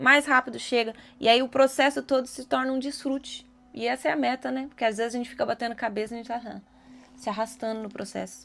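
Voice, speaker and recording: A woman speaks at a fairly quick pace with a bright, sharp tone. Her pitch is fairly high, with ordinary variation. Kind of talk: devotional video talk. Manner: fast; animated.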